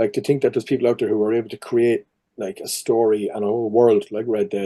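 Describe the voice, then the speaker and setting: Speaking with a Cork accent, a man uses a medium pitch and a dark, mellow tone at a fairly quick pace. The background is quiet. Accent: Cork Irish. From Ireland, Cork. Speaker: actor. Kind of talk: casual chat. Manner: animated.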